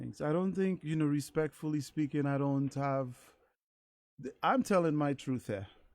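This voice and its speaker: A man with an American accent talks in an ordinary speaking voice at a moderate pace, his fairly high pitch showing ordinary variation. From US Virgin Islands, St. Thomas. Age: 50s. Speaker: singer. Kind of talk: interview.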